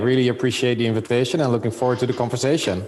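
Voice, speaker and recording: A man at medium pitch with a Dutch accent, over noticeable background noise. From Netherlands. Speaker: business executive. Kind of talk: interview. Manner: halting, many fillers.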